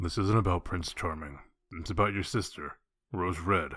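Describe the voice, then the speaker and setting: In a put-on character voice, a man speaks at a moderate pace with a very deep, low pitch. The recording is very clean, with a silent background. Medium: audio drama. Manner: blunt, terse, businesslike.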